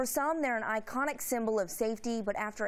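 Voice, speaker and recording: At a fairly quick pace, a woman with a fairly high pitch and ordinary pitch variation speaks in a plain, everyday voice. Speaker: news anchor and reporter. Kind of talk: TV news anchor read. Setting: studio.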